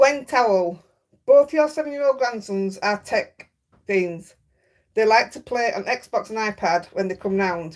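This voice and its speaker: Big swings in loudness mark a woman's lively intonation at a moderate pace. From Yorkshire. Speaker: craft livestreamer. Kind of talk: casual chat. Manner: chatty.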